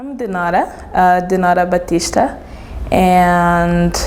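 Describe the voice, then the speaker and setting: Amid noticeable background noise and audible room echo, a woman speaks at a very slow pace with fairly even intonation. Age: 20s. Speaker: English teacher. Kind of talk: interview. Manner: halting, with fillers.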